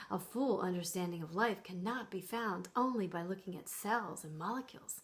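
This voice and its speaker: At a moderate pace and medium pitch, a somewhat breathy woman speaks with ordinary pitch variation and big swings in loudness. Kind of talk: impromptu reading aloud from a science book with ad-libbed asides. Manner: relaxed, impromptu, playful, cuddly.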